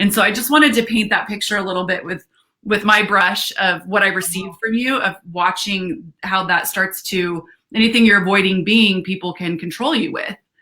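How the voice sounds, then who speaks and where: A woman speaks loudly with a bright, sharp tone. Her pace is moderate and her pitch varies in an ordinary way. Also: medium pitch for a woman. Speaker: live stream co-host. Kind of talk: casual chat. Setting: livestream video call. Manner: animated.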